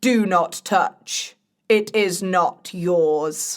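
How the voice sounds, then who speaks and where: Growling through a put-on character voice, a woman speaks at a medium pitch with ordinary pitch variation. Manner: warning.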